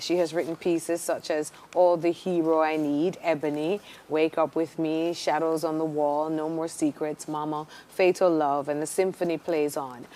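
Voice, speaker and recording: Delivered at a moderate pace in a monotone, flat intonation, the speech comes with noticeable background noise. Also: woman, very deep, low pitch for a woman. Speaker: TV morning show host. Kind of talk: TV talk show interview.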